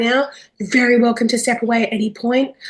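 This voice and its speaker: A woman's high, flat monotone voice with an Australian accent, at a fairly quick pace. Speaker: webinar facilitator. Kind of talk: webinar introduction. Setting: video call.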